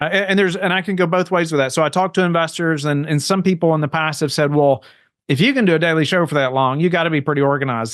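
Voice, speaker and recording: Very fast speech with ordinary pitch variation against a quiet background. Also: man. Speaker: real estate investor and podcaster. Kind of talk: podcast interview.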